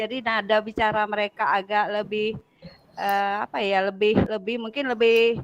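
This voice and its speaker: A woman speaks with a Bengkulu accent at a fairly high pitch. Her pace is moderate and her intonation monotone and flat. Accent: Bengkulu Sumatran. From Sumatra, Bengkulu. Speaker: teacher trainer. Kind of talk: online class introduction. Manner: loud, blunt; hesitant, many fillers.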